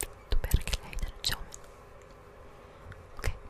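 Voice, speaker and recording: A woman whispers. Her pace is moderate. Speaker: ASMR creator. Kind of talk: soft-spoken whispering ASMR reading. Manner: soft-spoken, whispered. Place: home room. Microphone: studio mic.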